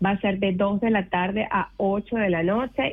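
A woman talks in a plain, everyday voice at medium pitch. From Venezuela (Mérida). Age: 40s. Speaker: volunteer event organizer. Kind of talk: radio interview. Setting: radio studio.

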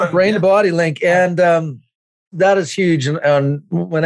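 A man with a normal speaking voice talks at a fairly quick pace, using ordinary pitch variation. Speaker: podcast co-host. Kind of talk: casual interview conversation.

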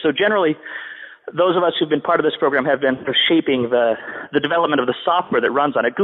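Over noticeable background noise, a man talks at a very fast pace. His voice sits fairly high, with ordinary pitch variation. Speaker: podcast guest. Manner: fast talker.

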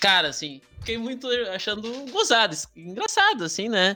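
Bright and sharp, the loud, projecting voice of a man. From southern Brazil, Rio Grande do Sul (Alvorada). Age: 30s. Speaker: history teacher. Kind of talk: casual chat. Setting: video call.

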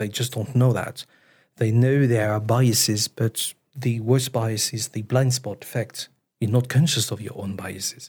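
Somewhat breathy man at medium pitch and a fairly slow pace, on a very clean recording with a silent background. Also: fairly even intonation. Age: 30s. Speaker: chief product officer. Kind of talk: interview conversation. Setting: studio.

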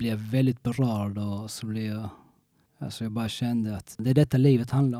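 This man has a dark, mellow tone and a medium pitch. He talks at a moderate pace with monotone, flat intonation. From Sweden, Skåne (Kristianstad). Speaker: former criminal turned motivational coach. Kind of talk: interview testimony. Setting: studio. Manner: halting, many repetitions.

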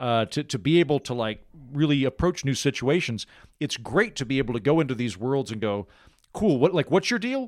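At a fairly quick pace, a man with a medium pitch sounds animated, his intonation lively, in a dry, close recording with no echo. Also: very clean recording, silent background. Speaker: author and podcaster. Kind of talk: casual chat. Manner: humorous, animated.

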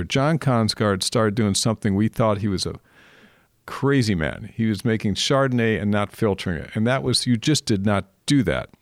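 A man's plain, everyday voice with an American accent, fairly low in pitch, at a moderate pace with ordinary pitch variation, recorded very clean against a silent background with a dry, close sound with no echo. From California, Napa Valley. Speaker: podcast host and vintner. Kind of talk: casual interview.

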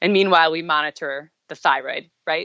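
A woman talks at a fairly quick pace in an unremarkable speaking voice. Her pitch is fairly low for a woman. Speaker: guest sharing health recovery story. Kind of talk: interview testimony.

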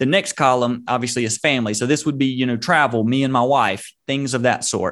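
Using a normal speaking voice, a man talks at a fairly quick pace with hardly any pauses and fairly even intonation. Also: medium pitch for a man. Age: 30s. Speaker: social media entrepreneur. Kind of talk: interview. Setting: video call.

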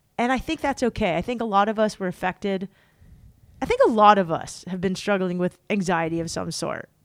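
A woman's medium-pitched voice with an American accent, fairly quick pace and ordinary pitch variation. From Southern California. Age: 40s. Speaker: author and podcast host. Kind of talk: casual interview chat. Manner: animated, casual.

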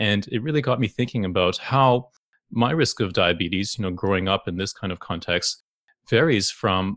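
A man with a Canadian accent speaks in an ordinary speaking voice at fairly low pitch with ordinary pitch variation, the sound dry and close with no echo over a quiet background. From Canada, Toronto. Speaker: endocrinologist. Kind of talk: interview.

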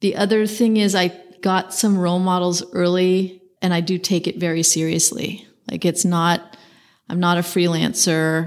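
With an American accent, a plain, everyday voice moves at a fairly slow pace with fairly even intonation. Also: woman. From US West Coast, San Francisco. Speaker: architect. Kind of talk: interview.

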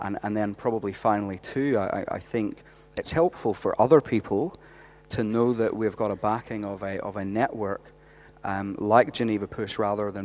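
In a Northern Irish accent, a man of fairly low pitch speaks at a moderate pace with fairly even intonation. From Northern Ireland. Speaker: youth pastor. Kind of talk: casual interview.

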